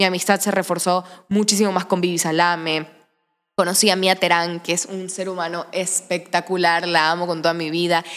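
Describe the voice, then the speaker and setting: A woman talks at a fairly quick pace in a fairly low pitch. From Ecuador, Manabí (Santa Ana). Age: 20s. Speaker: actress and social media creator. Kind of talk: casual interview chat.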